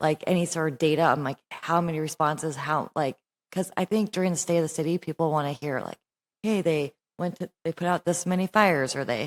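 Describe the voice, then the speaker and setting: A woman speaks at a fairly quick pace in an ordinary speaking voice, her pitch fairly low. Her intonation stays fairly even, and the sound is dry and close with no echo. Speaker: city council presiding member. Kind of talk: council meeting discussion. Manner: casual, filler-heavy speech.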